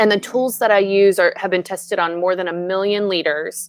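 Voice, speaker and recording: Speech comes at a fairly quick pace against a quiet background. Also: woman. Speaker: leadership coach. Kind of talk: casual chat. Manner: animated.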